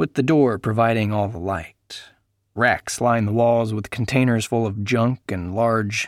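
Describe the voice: Over a quiet background, the voice gives a plain reading aloud with fairly even intonation.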